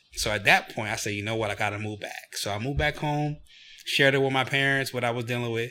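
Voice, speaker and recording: A man with an American accent, at medium pitch and a very fast pace, with a bright, sharp tone and ordinary pitch variation. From Chester, Pennsylvania (near Philadelphia). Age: 30s. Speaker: travel company founder. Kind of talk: casual interview.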